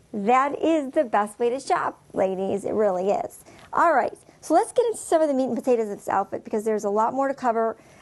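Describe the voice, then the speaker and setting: Speaking very fast, a woman keeps a high pitch. Her intonation is lively. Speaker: fashion show host. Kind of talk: presenting tutorial. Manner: animated.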